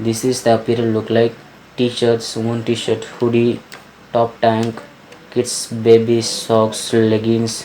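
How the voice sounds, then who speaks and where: With an enthusiastic tone, the speaker goes at a fairly slow pace over noticeable background noise. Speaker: online business vlogger. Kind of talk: screen-recorded tutorial talk. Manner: casual, enthusiastic.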